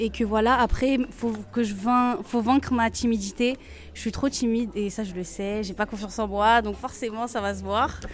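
This woman has an ordinary speaking voice, fairly high in pitch. She keeps a moderate pace with fairly even intonation. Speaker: aspiring rapper. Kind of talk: interview.

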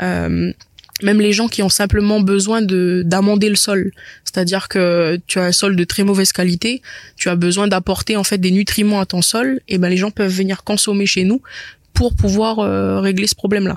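A woman speaks at a moderate pace in a medium pitch, her intonation flat and monotone. The recording is very clean with a silent background, and her loudness stays very even. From New Caledonia, Païta. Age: 20s. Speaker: business owner. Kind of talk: interview. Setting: cinema hall. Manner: halting, many repetitions.

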